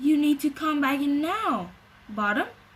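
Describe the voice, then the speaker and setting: A woman puts on a high-pitched character voice and keeps a moderate speed. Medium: read story. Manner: bossy, self-important.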